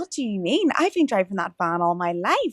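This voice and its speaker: Recorded very cleanly against a silent background with a dry, close sound and no echo, a woman with an Irish accent speaks at a moderate pace and medium pitch, her voice swinging very widely in pitch. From rural Ireland. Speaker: meditation coach and podcast host. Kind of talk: casual interview chat. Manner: halting, many fillers.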